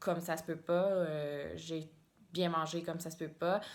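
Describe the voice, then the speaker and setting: A woman speaks very slowly in a Quebec accent, at a fairly low pitch with monotone, flat intonation. Room echo is audible. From Quebec, Mauricie near Trois-Rivières. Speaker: knitting podcaster, biologist. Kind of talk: casual vlog monologue. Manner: hesitant, many fillers and repetitions.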